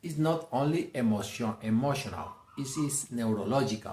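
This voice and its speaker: A man's somewhat breathy voice at a fairly slow pace, with lively intonation. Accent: Mexican. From Mexico, Jalisco. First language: Spanish. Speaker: self-help speaker. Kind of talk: motivational talk.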